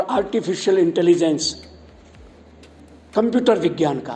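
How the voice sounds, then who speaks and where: A man speaks with a Gujarati accent. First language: Gujarati (speaking Hindi). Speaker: Sanskrit scholar and broadcaster. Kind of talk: speech at a college event.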